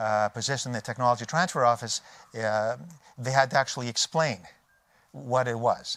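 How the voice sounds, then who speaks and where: A man with a Canadian accent and long, frequent pauses. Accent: native Canadian. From Canada. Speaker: technology transfer expert. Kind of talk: conference talk. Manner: halting, many fillers and restarts.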